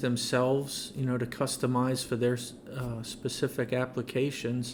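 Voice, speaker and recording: Soft-spoken and medium in pitch, a man talks at a fairly slow pace. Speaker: car wash industry veteran, product developer. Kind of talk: podcast interview answer.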